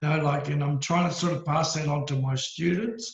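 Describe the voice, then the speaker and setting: With an Australian accent, a man talks fairly slowly at a fairly high pitch, his intonation fairly even. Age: 60s. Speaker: karate master. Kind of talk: casual chat.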